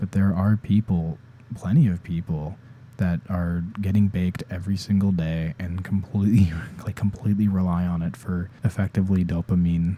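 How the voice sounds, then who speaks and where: A man talks at a fairly quick pace in a very deep, low voice. His tone is dark and mellow, and his intonation fairly even. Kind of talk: unscripted ASMR ramble. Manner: casual, rambling.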